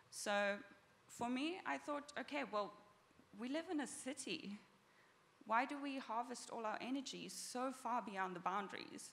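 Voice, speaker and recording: Speaking at a fairly slow pace with long, frequent pauses, a woman with a South African accent uses a high pitch and lively intonation, and the room echo is audible. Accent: South African, noticeable. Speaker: startup founder and engineer. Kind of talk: conference talk. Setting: stage with audience.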